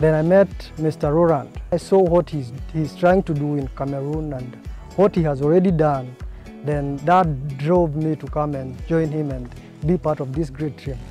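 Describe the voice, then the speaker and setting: The speech moves at a moderate pace with ordinary pitch variation, sounding dry with no echo, as faint music plays in the background. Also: man. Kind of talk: interview answer.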